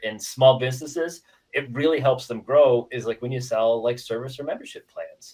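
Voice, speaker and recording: In an American accent, a man talks at a moderate pace with a medium pitch. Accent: Midwestern; called weird, close to Canadian. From Iowa, US Midwest. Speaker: software company representative. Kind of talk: casual podcast interview. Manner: filler-heavy, repetitive.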